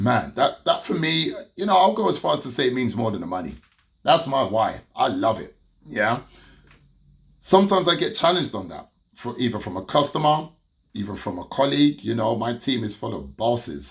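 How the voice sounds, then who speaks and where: A man with vocal fry, very wide pitch swings, big swings in loudness and a fairly quick pace. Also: medium pitch for a man. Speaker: business consultant. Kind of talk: motivational talk to camera. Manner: casual.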